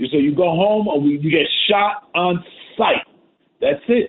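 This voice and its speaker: With a New York accent, a man talks at a moderate pace. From New York, the Bronx. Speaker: radio caller. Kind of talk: call-in opinion. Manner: halting, repeats words.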